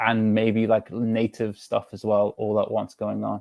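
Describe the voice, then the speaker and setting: A man with an English accent speaks at a fairly slow pace and a medium pitch. The sound is dry and close, with no echo. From England, of Georgian descent. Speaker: discussion participant. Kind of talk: casual group chat. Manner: halting.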